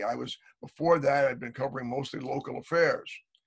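With an American accent, a man talks in a plain, everyday voice at a fairly quick pace. His pitch is fairly high. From United States. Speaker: journalist and author on foreign affairs. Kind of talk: interview. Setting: video call.

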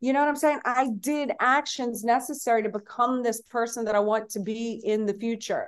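A woman's fairly high, normal speaking voice at a moderate pace, with fairly even intonation, hardly any pauses and a quiet background. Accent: American. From Louisiana, US South. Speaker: entrepreneur and author. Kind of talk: casual interview chat.

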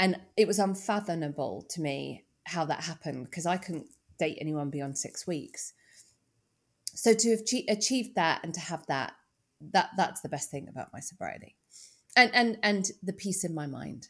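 With a British accent, a woman speaks at a moderate pace in a fairly low voice, her intonation lively and her loudness swinging widely, on a very clean recording with a silent background. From UK. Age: 50s. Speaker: sobriety coach and author. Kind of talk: interview conversation.

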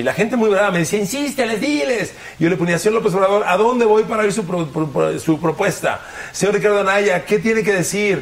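Speaking at a fairly quick pace, a man with a high pitch uses ordinary pitch variation. His loudness stays very even, with noticeable background noise. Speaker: sports commentator. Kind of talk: casual chat. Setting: studio.

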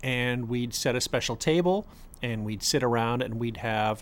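A man with an American accent has an ordinary speaking voice at a medium pitch, with ordinary pitch variation. He talks at a moderate pace in a very clean recording with a silent background. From South Florida. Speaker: parent of the host. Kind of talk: casual chat.

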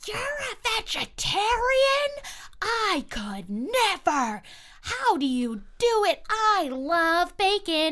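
A woman's put-on character voice, extremely high-pitched and very slow, with very wide pitch swings and long, frequent pauses. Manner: incredulous, exaggerated.

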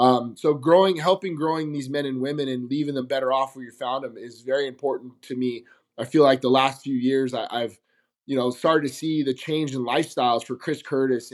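A man with a General American accent has an ordinary speaking voice, moving at a fairly quick pace with fairly even intonation. His loudness swings widely, and the recording is very clean with a silent background. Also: medium pitch for a man. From Las Vegas, Nevada. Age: 40s. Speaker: MMA coach. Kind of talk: casual interview.

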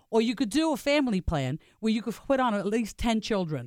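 A woman talks at a very fast pace in a fairly high pitch with lively intonation. The recording is very clean with a silent background and a dry, close sound with no echo. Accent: American. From Staten Island, New York. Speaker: entrepreneur. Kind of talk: business pitch. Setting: radio studio.

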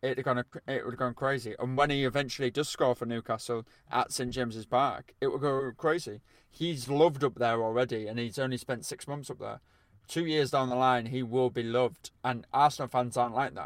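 A man of medium pitch has a plain, everyday voice and a fairly quick pace. His intonation is fairly even, in a very clean recording with a silent background. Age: 20s. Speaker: football podcast co-presenter and writer. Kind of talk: casual chat.

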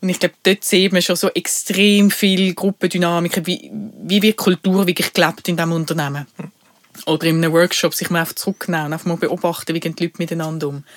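The speaker talks at a fairly quick pace with a Basel accent. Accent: Basel Swiss German dialect. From Switzerland, Basel. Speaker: podcast co-host, HR professional. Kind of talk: casual chat.

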